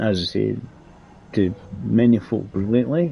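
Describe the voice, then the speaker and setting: A fairly low, somewhat breathy male voice with a dark, mellow tone and very wide pitch swings. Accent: Scottish. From Scotland, Edinburgh. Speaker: gaming streamer. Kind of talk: live gameplay commentary. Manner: casual, rambling with hesitations.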